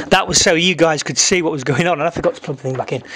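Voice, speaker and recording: Noticeable background noise sits behind a man's voice. He talks at a fairly high pitch with ordinary pitch variation. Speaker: guitar gear reviewer. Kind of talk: product demo tutorial. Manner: casual.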